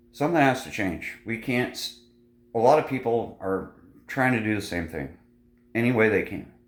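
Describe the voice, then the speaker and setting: Over audible room echo, a man at medium pitch talks at a moderate pace with lively intonation and long, frequent pauses. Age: 40s. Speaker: vlogger. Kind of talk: casual vlog monologue.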